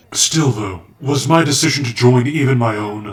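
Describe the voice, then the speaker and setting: A man performs a cartoonish character voice. He keeps a moderate pace. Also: medium pitch for a man. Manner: formal, polite.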